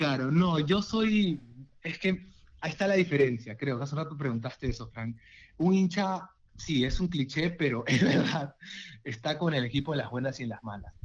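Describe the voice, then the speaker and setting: A man speaks at a moderate pace in a fairly high, somewhat breathy voice. His intonation is lively. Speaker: football fan guest. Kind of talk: casual chat.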